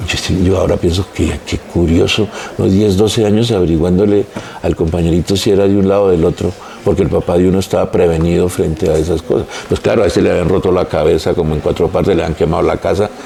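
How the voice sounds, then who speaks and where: Over noticeable background noise, a man talks at a very fast pace in a very deep, low pitch, with fairly even intonation and very even loudness. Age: 60s. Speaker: architect, heritage expert. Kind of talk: podcast interview.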